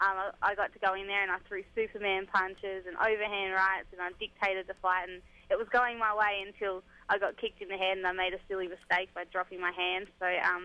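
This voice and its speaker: A woman with an Australian accent at a very fast pace, in a monotone, flat intonation. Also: medium pitch for a woman. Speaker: MMA fighter. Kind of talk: radio interview.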